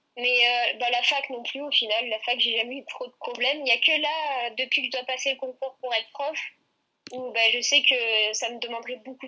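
Her pitch high and her intonation monotone and flat, a woman speaks at a fairly quick pace. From southern France, Aix-en-Provence. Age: 20s. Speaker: gymnast and student. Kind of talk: interview.

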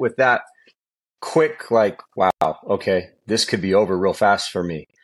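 A man with a Californian accent against a quiet background. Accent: Californian American English. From Southern California (San Bernardino). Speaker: high school football coach and former pro quarterback. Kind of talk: interview.

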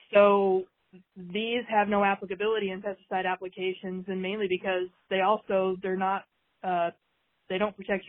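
Here is a woman whose voice sits at a medium pitch. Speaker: extension weed specialist. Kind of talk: interview on pesticide safety.

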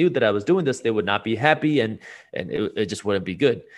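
Against a quiet background, a man with a plain, everyday voice and an American accent speaks at a fairly quick pace with lively intonation. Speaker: business founder and finance YouTuber. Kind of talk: casual interview.

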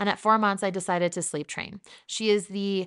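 Someone with an American accent is heard in dry, close sound with no echo against a quiet background. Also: woman. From New Jersey. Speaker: podcast host and sleep consultant. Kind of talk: scripted-style podcast intro. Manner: upbeat, chatty, speeds up when talking fast.

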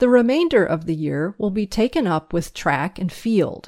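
A woman speaks fairly slowly with lively intonation in an ordinary speaking voice, on a very clean recording with a silent background and a dry, close sound with no echo. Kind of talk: reading aloud a 1957 school newsletter, including a poem.

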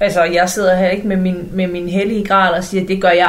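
Noticeable background noise and audible room echo around a woman speaking at a medium pitch. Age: 40s. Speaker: love coach and podcaster. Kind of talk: casual chat.

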